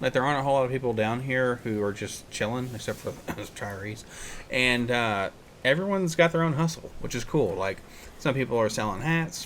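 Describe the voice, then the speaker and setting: With an American accent and a normal speaking voice, a man of medium pitch talks at a fairly quick pace with lively intonation. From United States. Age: 30s. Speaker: podcast host. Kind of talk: casual chat. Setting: on location.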